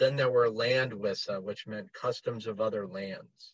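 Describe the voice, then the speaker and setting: The man's voice has some breathiness. He keeps a moderate pace, and his intonation is lively. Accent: American. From United States. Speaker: heathen writer and musician. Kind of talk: casual interview chat.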